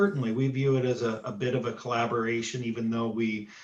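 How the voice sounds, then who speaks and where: Using a normal speaking voice, a man keeps a moderate pace and medium pitch while his intonation stays fairly even. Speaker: auditor. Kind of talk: presentation Q&A at board meeting.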